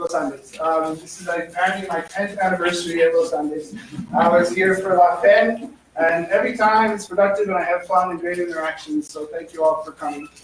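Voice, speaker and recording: A man's high voice with ordinary pitch variation, against noticeable background noise. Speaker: economist giving a seminar; professor. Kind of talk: seminar talk. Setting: lecture room with microphone. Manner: fast; hesitant with fillers.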